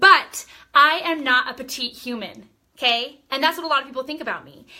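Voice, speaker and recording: At a high pitch and a fairly quick pace, a woman projects her voice in an animated tone, her loudness swinging widely. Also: ordinary pitch variation. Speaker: direct sales team leader. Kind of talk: live-stream training talk. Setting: live video stream. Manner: loud, animated.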